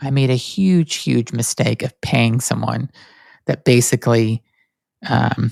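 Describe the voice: A man speaks slowly at medium pitch, nasal and slightly mellow, with vocal fry and fairly even intonation. The sound is dry and close, with no echo.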